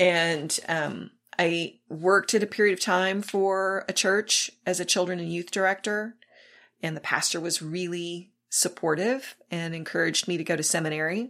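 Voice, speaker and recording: A woman's fairly low voice with an American accent, an ordinary speaking voice at a moderate pace, fairly even intonation, very clean recording with a silent background. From South Texas. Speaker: pastor. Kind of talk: casual chat.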